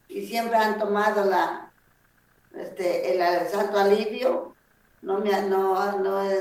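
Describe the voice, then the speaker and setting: A woman's medium-pitched voice with vocal fry. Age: 70s. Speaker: traditional healer. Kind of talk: interview. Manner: halting.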